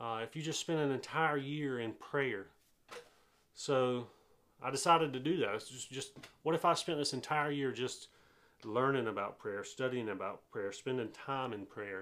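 A man's medium-pitched voice in a Southern US accent. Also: ordinary pitch variation, moderate pace. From US South, eastern North Carolina. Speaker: pastor. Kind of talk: informal sermon recap monologue. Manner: casual with frequent filler hesitations.

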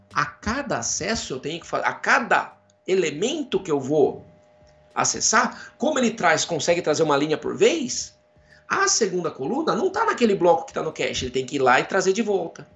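A man's high-pitched voice with very wide pitch swings at a moderate pace, amid noticeable background noise. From Brazil, interior of São Paulo state (Jaú). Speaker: computer science professor. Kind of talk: casual interview.

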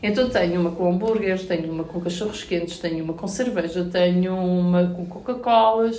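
Audible room echo surrounds a woman speaking at medium pitch with fairly even intonation. She keeps a moderate pace with hardly any pauses. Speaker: mother and content creator. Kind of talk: casual chat.

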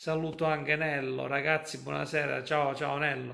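A man speaks with fairly even intonation. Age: 40s. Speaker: football fan livestream host. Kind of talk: casual chat.

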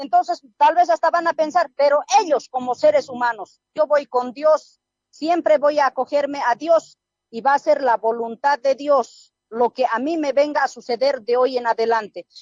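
A high-pitched woman's voice with an Andean accent. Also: ordinary pitch variation, moderate pace. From rural Oruro, Bolivia. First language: Aymara (speaking Spanish). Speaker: police sergeant. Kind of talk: radio interview. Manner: firm.

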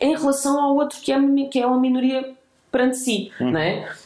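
A woman talks at a fairly quick pace. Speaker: human rights activist. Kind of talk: casual interview conversation. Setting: host's home.

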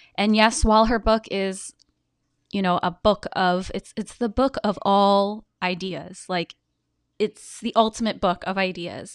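In a very clean recording with a silent background and a dry, close sound with no echo, a woman with an ordinary speaking voice and medium pitch talks at a fairly slow pace with fairly even intonation. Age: 30s. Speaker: podcast host. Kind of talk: podcast intro monologue; interview.

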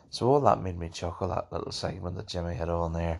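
Mumbling in a Northern Irish accent, a man speaks with a very deep, low pitch. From Northern Ireland. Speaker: podcast host. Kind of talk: casual solo monologue. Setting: home recording. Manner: mumbly, rambling, hesitant.

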